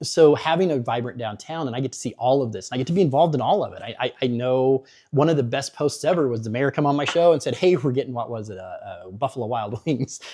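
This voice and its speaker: Spoken at a very fast pace with an American accent, this dark, mellow voice has hardly any pauses, ordinary pitch variation, and big swings in loudness. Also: man, medium pitch for a man. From Missouri, US Midwest. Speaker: local media founder. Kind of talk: interview.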